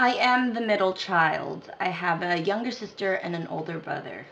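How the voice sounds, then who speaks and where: Noticeable background noise runs behind this clip. A woman with an American accent speaks at a moderate pace. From Philippines, raised in the United States from age two. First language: not English. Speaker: dance instructor and choreographer. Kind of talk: casual talk to camera. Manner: casual, chatty.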